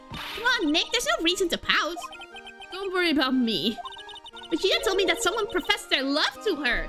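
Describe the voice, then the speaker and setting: A woman talks at a fairly quick pace in a put-on character voice with an extremely high pitch, with clear music playing in the background. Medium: virtual streamer. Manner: bright, chatty.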